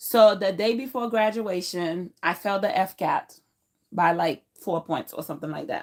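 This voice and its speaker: With a Haitian accent, a woman speaks at a medium pitch and a moderate pace with ordinary pitch variation. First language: Haitian Creole. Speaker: YouTuber. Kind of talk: personal vlog storytelling. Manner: casual with fillers.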